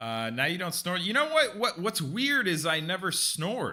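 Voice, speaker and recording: Here a man speaks with an American accent. His pace is moderate, and his pitch swings very widely. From California. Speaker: streamer, cooking channel host. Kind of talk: live stream chat. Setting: live stream. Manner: casual, animated.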